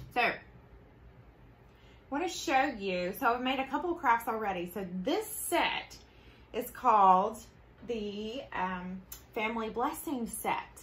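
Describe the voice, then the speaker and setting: With a Southern US accent, a woman speaks at a fairly high pitch and a fairly slow pace, her intonation lively and broken by long, frequent pauses. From US South. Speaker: craft tutorial host. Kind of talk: live craft tutorial. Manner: animated.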